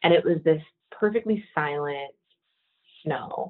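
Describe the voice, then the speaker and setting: A woman speaks with an American accent at a fairly slow pace. Her pitch varies in an ordinary way. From Texas. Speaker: hunting organization director. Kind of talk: podcast interview.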